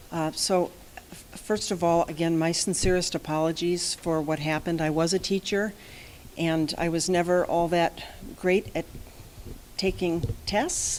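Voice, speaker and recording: A soft-spoken woman talks at a fairly slow pace, with long, frequent pauses. Her voice is fairly low-pitched, and her intonation is monotone and flat. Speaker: company president addressing a school board. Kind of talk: formal presentation and apology to a board. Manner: quiet, soft-spoken. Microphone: too quiet.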